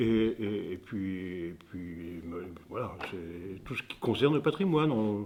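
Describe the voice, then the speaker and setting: A man speaks in a fairly low voice. His pace is very slow. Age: 80s+. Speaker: potter. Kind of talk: interview. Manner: halting.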